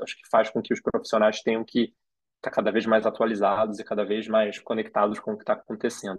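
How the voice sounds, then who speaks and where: Monotone, flat intonation marks this man's speech. His pitch sits at a medium level. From Rio de Janeiro, Brazil. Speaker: design school co-founder. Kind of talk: interview conversation. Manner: hesitant, many fillers.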